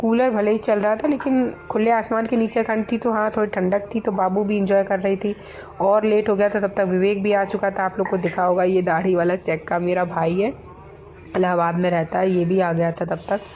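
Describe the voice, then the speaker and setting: A woman's medium-pitched voice at a moderate pace, fairly even in intonation and very even in loudness, with noticeable background noise. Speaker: vlogger. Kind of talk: vlog narration. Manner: conversational.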